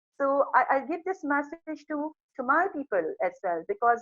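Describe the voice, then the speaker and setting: Over music in the background, a woman speaks in a dry, close sound with no echo. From Pakistan. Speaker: psychologist. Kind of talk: interview.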